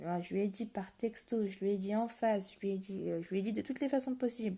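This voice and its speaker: A woman speaks fairly quickly in a medium pitch, her tone dark and mellow and somewhat breathy, with ordinary pitch variation. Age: 20s. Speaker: livestreamer talking to viewers. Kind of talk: casual live-stream confession to viewers. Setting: live stream at 1 a.m. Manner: halting, hesitant.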